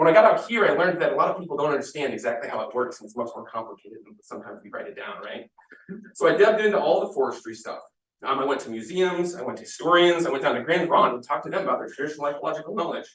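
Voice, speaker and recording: The speaker has an American accent and talks at a very fast pace. Loudness swings widely throughout. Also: man. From US Midwest. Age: 30s. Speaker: army veteran and forestry education advocate. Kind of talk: public comment at school board meeting.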